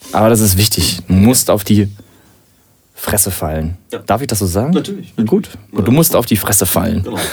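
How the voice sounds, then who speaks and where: Talking at a fairly quick pace, a man with a fairly low pitch and an unremarkable speaking voice uses lively intonation. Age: 20s. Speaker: DJ. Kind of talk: casual chat.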